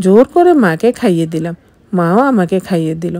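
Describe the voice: A woman speaks at a medium pitch with a dark, mellow tone. Her intonation is lively.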